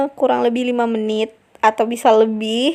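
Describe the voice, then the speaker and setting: A woman's fairly high-pitched voice in a North Sumatran accent. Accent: Batak accent when explaining. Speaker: cooking channel host. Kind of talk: cooking tutorial. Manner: casual, chatty.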